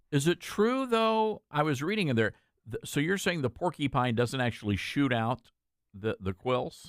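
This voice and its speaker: A man with a Southern US accent speaks at a moderate pace and a fairly high pitch. His pitch swings very widely, and the sound is dry and close with no echo. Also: very clean recording, silent background. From US South. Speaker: radio host. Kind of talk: interview. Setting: studio.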